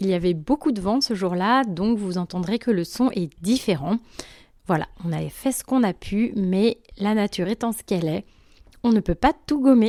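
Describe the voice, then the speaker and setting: Her medium-pitched voice has a dark, mellow tone and lively intonation at a moderate pace. The recording is dry and close with no echo. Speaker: podcast host, agronomist. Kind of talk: podcast intro.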